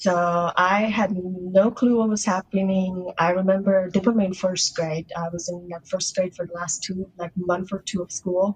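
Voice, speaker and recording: At a moderate pace, a woman speaks in a somewhat breathy, monotone, flat way at a medium pitch. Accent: American. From Russia, adopted to US as young child. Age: 20s. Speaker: adoptee sharing her story. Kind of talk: podcast interview. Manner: casual, lots of filler words.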